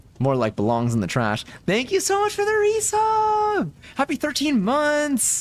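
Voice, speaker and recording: Speaking at a moderate pace, a man is heard. His loudness stays very even. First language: Spanish. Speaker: game streamer. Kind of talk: casual live stream chat. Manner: casual, filler-heavy.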